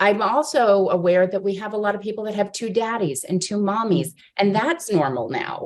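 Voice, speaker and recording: A woman with an American accent speaks at a moderate pace in a plain, everyday voice. Her pitch sits in the medium range, and her intonation is lively. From Miami, Florida. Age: middle-aged. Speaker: presenter. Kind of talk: casual chat.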